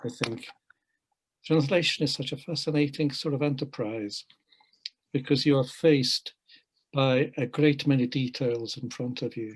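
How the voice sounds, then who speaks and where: A man speaks with a Hungarian accent, at medium pitch and a moderate pace. His voice is somewhat breathy, with ordinary pitch variation. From Hungary, raised in England from age eight. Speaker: poet and translator. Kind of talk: panel interview. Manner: measured, reflective.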